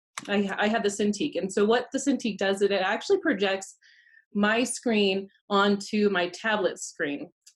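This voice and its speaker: A woman with an American accent speaks at a moderate pace, her somewhat breathy voice at a medium pitch with ordinary pitch variation. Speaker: photographer and Photoshop instructor. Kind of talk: tutorial.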